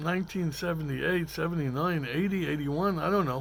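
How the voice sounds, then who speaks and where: A man speaks at a fairly quick pace with a Brooklyn accent. His pitch sits high. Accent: New York (Brooklyn). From Brooklyn, New York. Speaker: talk show host. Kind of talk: storytelling monologue. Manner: hesitant, many fillers.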